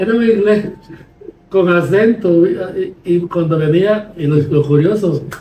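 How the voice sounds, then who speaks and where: Noticeable background noise sits behind a man speaking at a fairly slow pace with long, frequent pauses. His pitch is high, with ordinary pitch variation. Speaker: podcast host, lawyer. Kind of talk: conversational podcast discussion.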